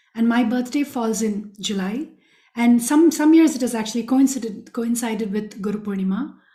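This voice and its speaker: Speaking in a Tamil accent, a woman with a fairly high pitch keeps a moderate pace. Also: ordinary pitch variation. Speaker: spiritual speaker, former student. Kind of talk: personal testimony talk.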